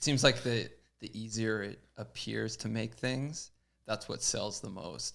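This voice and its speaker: With a Canadian accent and some vocal fry, a man speaks fairly slowly at a fairly low pitch. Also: ordinary pitch variation. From Canada. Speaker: pro BMX rider. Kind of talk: casual chat. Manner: quiet, reserved.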